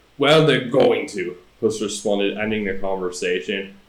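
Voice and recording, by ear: The voice is reading aloud. It sounds natural.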